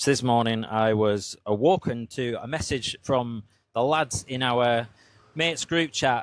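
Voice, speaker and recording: A man speaks at a very slow pace, his pitch sitting in the middle range. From Southern Cumbria, England. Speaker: podcaster. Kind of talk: casual talk to camera.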